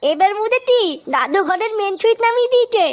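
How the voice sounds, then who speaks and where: This is a cartoonish character voice with an extremely high pitch. It moves along at a moderate pace. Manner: crude, cursing, irritable.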